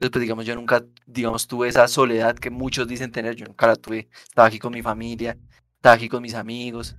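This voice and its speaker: Speaking at a very fast pace, a man with a medium pitch keeps a monotone, flat intonation while his loudness swings widely, all on a very clean recording with a silent background. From Colombia, Bogotá and Yopal. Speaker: podcast host, sociology student. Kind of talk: casual chat.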